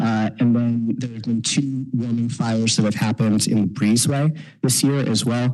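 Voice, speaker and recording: A man's medium-pitched voice keeps a fairly even intonation as he talks at a moderate pace. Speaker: downtown business district manager presenting to city council. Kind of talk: presentation to city council. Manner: hesitant, many fillers.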